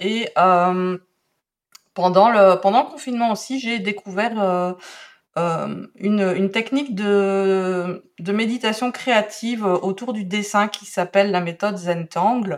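At a very slow pace, a woman speaks in a medium pitch with a slight Belgian accent. Her intonation is fairly even. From Belgium. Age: 40s. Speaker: calligraphy teacher. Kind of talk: podcast interview. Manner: hesitant, many fillers.

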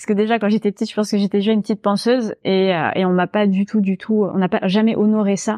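Talking at a very fast pace, the voice has a dark, mellow tone. The sound is dry and close with no echo, over a quiet background. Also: woman, medium pitch for a woman. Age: 30s. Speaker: narrative coach and storytelling trainer. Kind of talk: podcast interview. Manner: animated.

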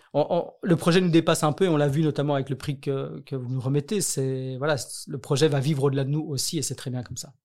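The recording is very clean with a silent background as a man speaks at a fairly quick pace in a fairly high pitch with fairly even intonation. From Belgium, Brussels. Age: 30s. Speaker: nonprofit director. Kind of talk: interview. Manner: hesitant, many fillers.

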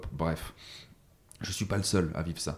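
The recording is very clean, and the background is silent. A man's pitch rises and falls in a normal way. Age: 30s. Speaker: sales coach and entrepreneur. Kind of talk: podcast interview. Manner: casual, hesitant with fillers.

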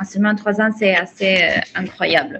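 With an Italian accent, a woman speaks at a fairly high pitch. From Italy. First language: Italian (speaking French). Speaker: mindset coach. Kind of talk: interview.

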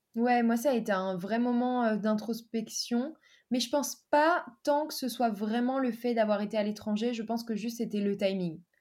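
With a plain, everyday voice, a woman speaks at a fairly high pitch and a moderate pace, using ordinary pitch variation. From France, Dijon. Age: 20s. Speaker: freelance marketer and digital nomad. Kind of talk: casual interview.

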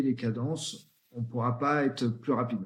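The man's voice is somewhat breathy, with a medium pitch. He talks at a moderate pace with fairly even intonation. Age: 40s. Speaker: founder of a promotional products agency. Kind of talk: interview.

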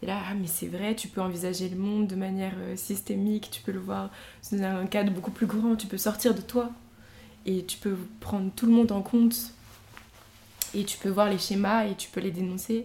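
A woman at medium pitch, moderate pace and monotone, flat intonation, with long, frequent pauses. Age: young. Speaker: painter. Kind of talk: casual interview chat.

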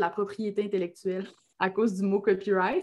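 Speaking at a fairly quick pace, a woman talks. Her pitch is medium. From Quebec, Lac-Saint-Jean (Alma). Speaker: copywriter and entrepreneur. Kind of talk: interview conversation.

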